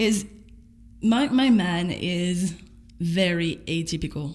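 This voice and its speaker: Room echo is audible as a woman with a French accent speaks at a fairly low pitch. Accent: noticeable French. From France. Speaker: vlogger. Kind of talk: personal video diary. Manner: casual, halting with repetitions.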